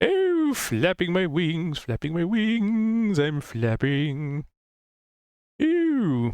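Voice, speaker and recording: The speaker uses a put-on character voice at a middle pitch. The delivery comes at a very slow pace. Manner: silly, playful.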